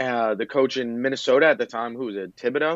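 Here a man talks in an unremarkable speaking voice with an American accent. His pitch is medium and his intonation fairly even. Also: dry, close sound with no echo, quiet background. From Philadelphia, US. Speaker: sports podcaster. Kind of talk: casual chat.

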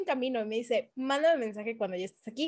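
Her tone is animated as this woman talks. The pitch shows ordinary variation. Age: 30s. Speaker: podcast co-host. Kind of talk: casual chat.

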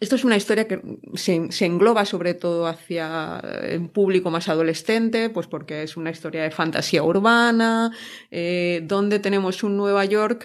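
A woman with an unremarkable speaking voice talks at a moderate pace and medium pitch, with ordinary pitch variation, against a quiet background. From Spain, province of Alicante. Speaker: podcast co-host, author. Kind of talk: casual chat.

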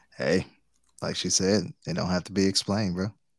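A man's very deep, low voice with vocal fry, at a moderate pace, in a dry, close sound with no echo. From Detroit, west side. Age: 40s. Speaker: podcast co-host. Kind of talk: casual chat.

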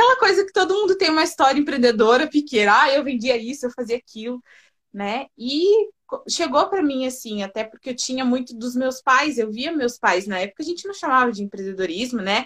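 A woman at a high pitch talks at a fairly quick pace, her pitch swinging very widely. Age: 20s. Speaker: personal branding consultant. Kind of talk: casual interview.

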